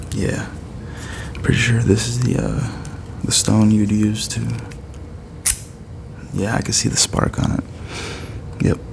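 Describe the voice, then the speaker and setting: A soft-spoken man with a relaxed tone, at a fairly slow pace with long, frequent pauses, over noticeable background noise. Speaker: ASMR content creator. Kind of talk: ASMR unboxing, casual talk to camera. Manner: soft-spoken, relaxed.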